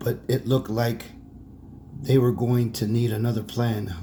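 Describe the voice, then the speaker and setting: Using a put-on character voice, a man speaks in a raspy, medium-pitched tone at a moderate pace, with monotone, flat intonation. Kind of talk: bedtime story. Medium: read story. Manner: casual, self-correcting.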